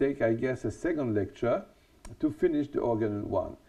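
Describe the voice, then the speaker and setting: Lively intonation from a man, his medium pitch paired with a dark, mellow tone. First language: French. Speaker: homeopathy lecturer. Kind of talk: lecture. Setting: studio. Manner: deliberately not too fast; halting, many fillers.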